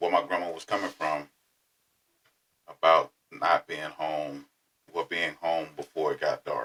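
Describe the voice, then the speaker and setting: Speaking in a Southern US accent, a man keeps a moderate pace. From Florida. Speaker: podcast host. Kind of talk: personal storytelling. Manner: casual.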